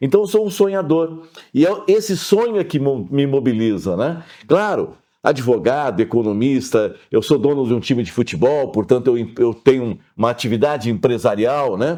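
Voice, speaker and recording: The tone is dark and mellow, with lively intonation at a moderate pace. The background is quiet. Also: man. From southern Brazil (Pelotas, Rio Grande do Sul). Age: 60s. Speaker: lawyer and mayoral candidate. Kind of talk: interview.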